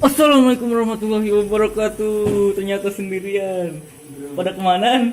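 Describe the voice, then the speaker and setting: Music sounds in the background as someone talks at a fairly quick pace. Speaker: vlogger. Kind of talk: casual vlog talk to camera.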